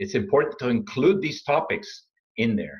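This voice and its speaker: A man with a non-native accent sounds somewhat breathy. He talks at a fairly quick pace with very wide pitch swings. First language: not English. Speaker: supply chain consultant and speaker. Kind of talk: interview. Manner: halting, many fillers.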